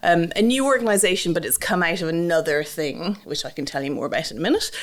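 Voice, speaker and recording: A woman talks at a fairly quick pace with an Irish accent. Her pitch is fairly low. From Ireland, Dublin. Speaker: ministry trainer. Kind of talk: interview. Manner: hesitant, many fillers.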